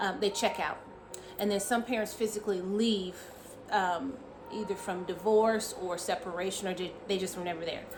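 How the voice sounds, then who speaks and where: Noticeable background noise and audible room echo fill the recording. A woman speaks at a moderate pace in a medium pitch, with fairly even intonation. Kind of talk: casual teaching talk to camera. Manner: frequent fillers (um, uh).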